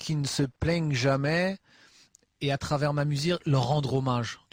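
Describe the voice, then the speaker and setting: A somewhat breathy man's voice, fairly high in pitch with ordinary variation, at a moderate pace in a dry, close sound with no echo. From Normandy, Le Havre. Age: 30s. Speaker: rapper. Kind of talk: interview. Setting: backstage dressing room. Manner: halting.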